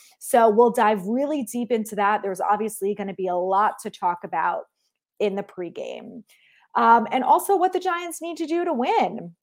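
With an American accent and an animated tone, a woman speaks at a moderate pace in a fairly high pitch that shows very wide pitch swings. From US Northeast, New Jersey. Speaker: sports podcast host. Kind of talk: solo podcast monologue.

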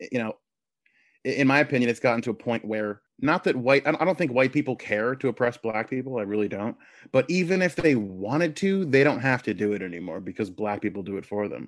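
Heard on a very clean recording with a silent background, a man with an ordinary speaking voice talks fairly quickly in a medium pitch with lively intonation. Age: 30s. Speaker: podcast host, political commentator. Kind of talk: interview, political discussion.

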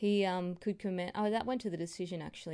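Her tone dark and mellow, a woman with an Australian accent speaks at a fairly low pitch. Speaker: mixed martial arts podcaster. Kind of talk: solo fight recap. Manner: hesitant, many fillers.

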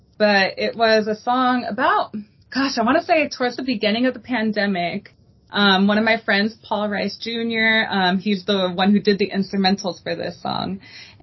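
In an American accent, a woman with a normal speaking voice talks at a moderate pace, her fairly high pitch showing ordinary variation. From Texas, El Paso. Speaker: R&B singer. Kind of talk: interview.

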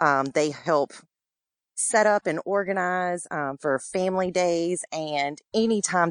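A woman with a Louisiana accent, in a dry, close sound with no echo and a quiet background. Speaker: military spouse and community volunteer. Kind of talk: interview. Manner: hesitant with fillers.

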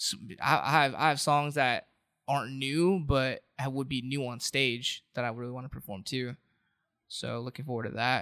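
On a very clean recording with a silent background and a dry, close sound with no echo, a man with an American accent uses a normal speaking voice at medium pitch, with fairly even intonation and a moderate pace. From Southern California, Orange County. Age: 20s. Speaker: rapper and singer. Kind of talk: casual chat. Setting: studio.

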